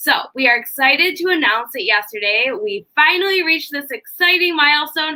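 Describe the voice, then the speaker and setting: In a strong Chicago accent, a woman with a high, bright, sharp voice speaks raised and projected at a fairly quick pace, with very wide pitch swings. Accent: thick Chicago. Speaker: university staff host of live event. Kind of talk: live interview / presentation. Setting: live online video stream.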